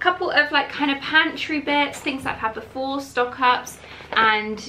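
Over light background noise, the speech moves at a moderate pace with ordinary pitch variation. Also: woman. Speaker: lifestyle vlogger. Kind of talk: casual haul vlog chat. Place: kitchen. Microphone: phone near.

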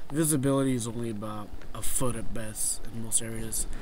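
Noticeable background noise runs behind a man speaking. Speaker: kayak angler vlogger. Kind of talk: casual vlog chat. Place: waterside. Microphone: phone near.

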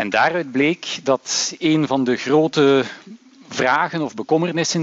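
A very slow delivery with ordinary pitch variation and a dry sound with no echo. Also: man. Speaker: university lecturer. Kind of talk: lecture. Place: hall. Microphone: headset.

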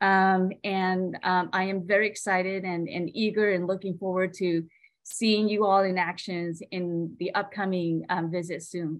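Against a quiet background, the speaker talks with a Southeast Asian accent in a monotone, flat intonation, with hardly any pauses. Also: woman, medium pitch for a woman, fairly slow pace. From Hmong refugee family, grew up in US. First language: Hmong. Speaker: state service program director. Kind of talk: prepared speech. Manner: halting. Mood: warm, encouraging. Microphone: video call.

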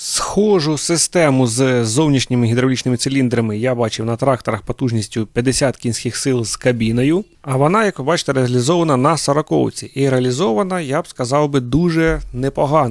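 With an ordinary speaking voice, a man talks at a moderate pace and medium pitch with ordinary pitch variation. The recording is very clean, with a silent background and a dry, close sound with no echo. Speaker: tractor reviewer. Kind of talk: product review video. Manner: informal, conversational.

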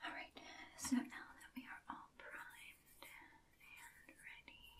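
Whispering at a very slow pace, a woman keeps a calm, gentle tone while her loudness swings widely. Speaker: ASMR artist. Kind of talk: ASMR role-play, makeup application. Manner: soft-spoken, calm, gentle. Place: home room. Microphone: earbuds.

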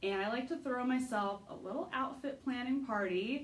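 Her intonation is lively as the woman speaks. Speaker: style vlogger. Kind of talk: casual vlog chat. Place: home room. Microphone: phone near.

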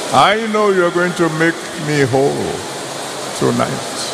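At a fairly slow pace and with ordinary pitch variation, a man talks while noticeable background noise carries on behind him. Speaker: preacher leading prayer. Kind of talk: sermon prayer. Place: hall. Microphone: handheld.

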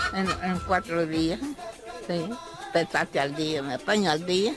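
Over clear background music, a woman talks at a fairly slow pace in a dry sound with no echo. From El Salvador. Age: 90s. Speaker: traditional mat weaver (petate maker). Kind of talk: interview answer. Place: home room. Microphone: handheld.

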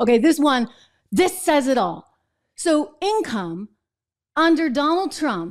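A woman speaks at a very slow pace in a high voice, her pitch swinging very widely, against a quiet background. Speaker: show host. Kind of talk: political commentary. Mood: indignant, sarcastic. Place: studio. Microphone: studio mic.

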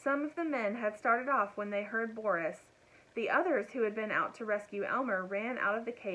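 The pitch moves with ordinary variation. It is plain reading aloud.

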